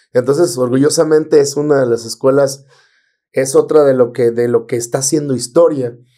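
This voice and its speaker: A man with a dark, mellow tone and fairly even intonation, at a moderate pace over a quiet background. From Mexico, Villa Hidalgo, Nayarit. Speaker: teacher and band singer. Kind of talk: casual chat. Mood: relaxed, friendly, smiling. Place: studio. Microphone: studio mic.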